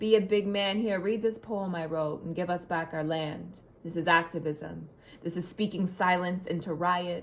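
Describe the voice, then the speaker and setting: In a normal speaking voice, a woman talks at a moderate pace with fairly low pitch and fairly even intonation. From Ontario, Canada. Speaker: spoken word poet. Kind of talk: spoken word poetry performance.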